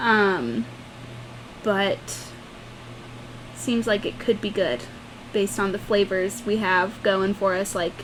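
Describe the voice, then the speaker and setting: Over noticeable background noise, a woman speaks at a very slow pace and medium pitch. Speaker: podcast co-host. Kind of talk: casual chat. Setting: home room with doors open. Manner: loud.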